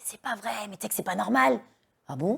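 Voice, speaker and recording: This woman's pitch swings very widely, with vocal fry. Her pace is fairly slow. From France, Lyon suburbs. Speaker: dancer and activist against forced marriage. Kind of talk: interview testimony. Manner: loud.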